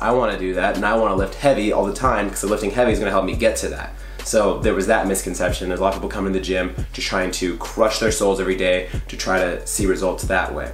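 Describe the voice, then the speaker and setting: Faint music sits behind a man talking at a very fast pace with hardly any pauses. Room echo is audible. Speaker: fitness coach. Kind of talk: casual vlog chat. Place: home room.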